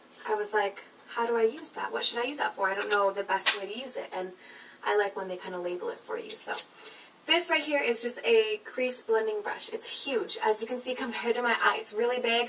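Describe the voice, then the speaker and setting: Fairly high female speech at a fairly quick pace, ordinary in pitch variation, amid noticeable background noise. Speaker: beauty vlogger. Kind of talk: product review. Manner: fast; animated.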